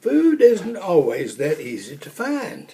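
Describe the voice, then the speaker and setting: In a put-on character voice, a man speaks high-pitched at a fairly slow pace. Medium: read story. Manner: gentle, patient.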